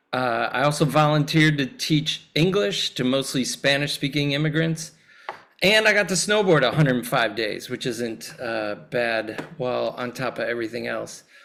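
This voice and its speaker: At a moderate pace, a man speaks with an American accent and a fairly high pitch. His is a plain, everyday voice. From US Midwest, Chicago area. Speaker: priest, clergy nominee. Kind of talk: candidate self-introduction at a meeting. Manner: casual, friendly.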